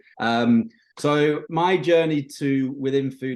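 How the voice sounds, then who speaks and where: A man speaks with a Yorkshire accent. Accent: British (Yorkshire). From northern England, Bridlington, Yorkshire. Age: 30s. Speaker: marketing agency owner. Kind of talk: podcast interview. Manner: hesitant, many fillers.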